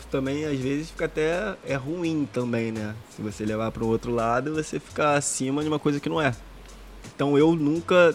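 Using an ordinary speaking voice, this man talks moderately fast at a fairly high pitch, his pitch varying in an ordinary way. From Rio de Janeiro, Brazil (Jacarepaguá). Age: 30s. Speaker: professional footballer. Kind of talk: casual chat.

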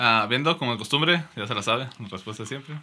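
A man at medium pitch, talking at a very fast pace over noticeable background noise. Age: 20s. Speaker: podcast co-host. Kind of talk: casual chat.

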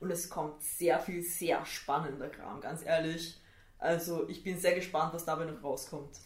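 In a Viennese accent, the voice moves at a fairly slow pace with monotone, flat intonation and big swings in loudness, amid noticeable background noise and audible room echo. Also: woman, fairly low pitch for a woman. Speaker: tattoo artist and illustrator. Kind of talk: casual chat.

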